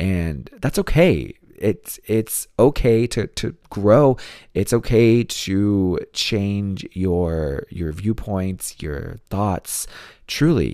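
Very slow, raspy speech from a man with a fairly low pitch, a dark, mellow tone and lively intonation, on a very clean recording with a silent background. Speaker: true crime podcast host. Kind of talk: casual listener Q&A chat. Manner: laughs often, self-deprecating.

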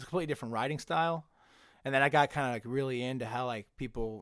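At a very fast pace, a man talks at a medium pitch on a very clean recording with a silent background. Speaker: comedian. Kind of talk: casual chat.

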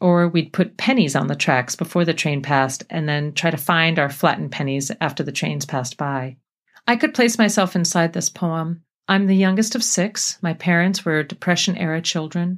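A woman with an unremarkable speaking voice talks at a moderate pace and fairly low pitch. Her pitch variation is ordinary, and the recording is very clean with a silent background. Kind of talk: poetry reading aloud, a reflective elegiac poem about trains and a lost father. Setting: radio show studio.

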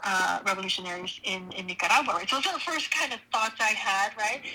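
Over noticeable background noise, a woman speaks at a moderate pace and medium pitch, her intonation fairly even. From Los Angeles (born in Honduras). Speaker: professor. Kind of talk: interview.

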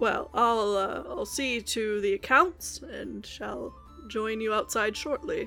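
A woman speaks very slowly in a put-on character voice, fairly high in pitch, with clear music in the background. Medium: actual play. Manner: dry, wry, measured.

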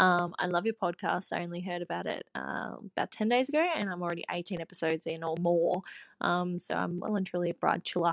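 Fairly quick and fairly even in intonation, the voice sounds dry and close with no echo in a very clean recording with a silent background. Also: woman, fairly low pitch for a woman. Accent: Australian. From Australia. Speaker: caller, bride-to-be. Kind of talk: recorded voice message.

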